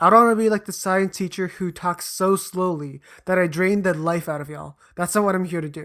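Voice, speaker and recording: A fairly quick pace on a very clean recording with a silent background. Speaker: educational YouTuber. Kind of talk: explainer monologue. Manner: fast; casual, self-correcting.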